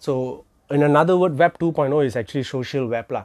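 A man with a Malaysian accent talks at a moderate pace with ordinary pitch variation. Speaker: crypto educator. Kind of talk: informal lecture. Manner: casual, filler-heavy.

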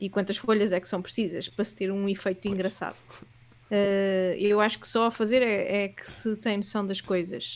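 A woman talks at a moderate pace and medium pitch. Her intonation is monotone and flat, while her loudness swings widely. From Portugal, Leiria. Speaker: animator and illustrator. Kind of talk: casual interview.

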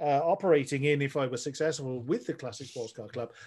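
A man with an English accent, fairly high in pitch, at a fairly quick pace. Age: 40s. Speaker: sim racer. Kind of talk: casual chat. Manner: halting.

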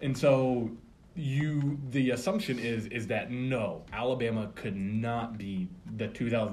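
A man with an American accent speaks at a medium pitch, somewhat breathy, with audible room echo. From Florida, outside Tampa. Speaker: sports fan guest, former college football player. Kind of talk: casual chat.

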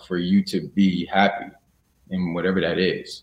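The man speaks at a fairly low pitch with an American accent. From Illinois (Chicago, Springfield). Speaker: actor. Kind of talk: interview.

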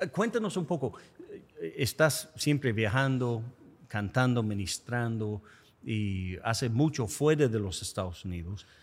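With an English accent, a man speaks at a fairly slow pace and a medium pitch. His intonation is lively, and the recording is very clean with a silent background. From United States. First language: English (speaking Spanish). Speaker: podcast host. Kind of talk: interview conversation.

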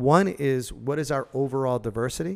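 This man has a normal speaking voice at a fairly high pitch. He talks at a moderate pace. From Massachusetts, Worcester. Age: 40s. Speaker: cannabis entrepreneur. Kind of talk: casual interview.

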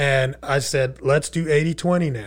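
Over a silent background in a very clean recording, a man talks in a fairly high, somewhat breathy voice with ordinary pitch variation. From Texas (Irving), born in Queens, New York. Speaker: e-commerce entrepreneur and speaker. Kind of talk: casual interview chat. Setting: studio.

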